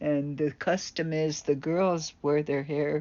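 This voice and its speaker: The woman speaks at a very slow pace. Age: 70s. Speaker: vlogger. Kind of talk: casual monologue.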